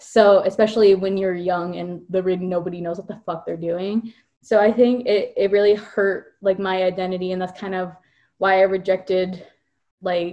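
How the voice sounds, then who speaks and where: A woman's dark, mellow voice at a medium pitch, with an American accent. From Virginia then California. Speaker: podcast co-host. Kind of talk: casual chat.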